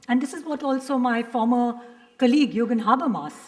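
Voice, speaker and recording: Speaking with an Indian accent, a woman has a high pitch and ordinary pitch variation. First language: Hindi. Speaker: professor. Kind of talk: panel discussion.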